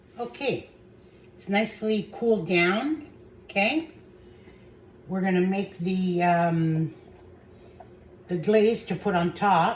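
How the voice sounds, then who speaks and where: Somewhat breathy, a woman speaks at a very slow pace with long, frequent pauses and lively intonation. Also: medium pitch for a woman. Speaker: home cooking channel host. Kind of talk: cooking tutorial. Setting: home kitchen. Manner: hesitant, with fillers; soft-spoken.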